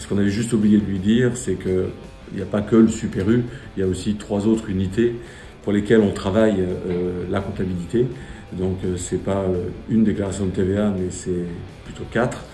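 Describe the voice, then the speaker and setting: A man with a fairly low voice speaks at a fairly quick pace in a monotone, flat delivery, leaving long, frequent pauses. Audible room echo surrounds him, and music plays in the background. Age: 60s. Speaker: supermarket director. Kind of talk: interview testimony. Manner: hesitant, many fillers and repetitions.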